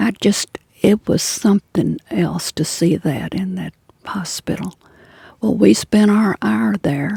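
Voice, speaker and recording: At a very slow pace, a woman with a fairly low pitch and vocal fry makes very wide pitch swings, the sound dry and close with no echo. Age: 80s+. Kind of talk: interview answer.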